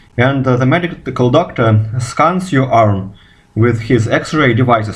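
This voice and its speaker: The speaker has a Russian accent and talks at a fairly slow pace with ordinary pitch variation. Room echo is audible. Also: man. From Russia, Moscow. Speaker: physicist. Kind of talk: video response monologue. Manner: halting, repeats words.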